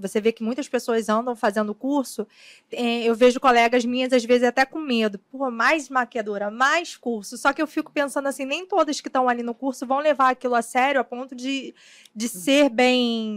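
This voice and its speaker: In a dry, close sound with no echo, a woman talks at a moderate pace with a high pitch and ordinary pitch variation. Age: 30s. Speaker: podcast co-host, makeup artist. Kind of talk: casual interview.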